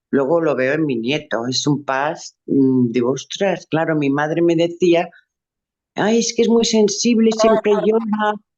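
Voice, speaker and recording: The speaker's pitch swings very widely. The pace is fairly slow. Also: woman, fairly low pitch for a woman. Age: 70s. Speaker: workshop attendee. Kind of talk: personal testimony.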